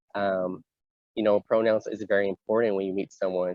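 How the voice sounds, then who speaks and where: In a Spanish accent, a man speaks at a fairly low pitch with monotone, flat intonation. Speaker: LGBT community advocate. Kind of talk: interview conversation.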